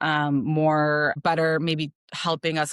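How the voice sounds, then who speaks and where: A woman with a Chicago accent speaks at a very deep, low pitch with fairly even intonation. The recording is very clean and dry, close with no echo, and the background is silent. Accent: Chicago, Midwestern US. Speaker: optometrist. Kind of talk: interview answer.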